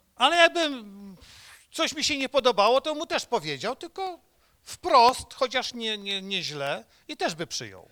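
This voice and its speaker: A man's raised, projected voice, extremely high in pitch, bright and sharp in tone, fairly slow, with very wide pitch swings and big swings in loudness, in a dry, close, echo-free and very clean recording with a silent background. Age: 60s. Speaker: preacher. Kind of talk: sermon.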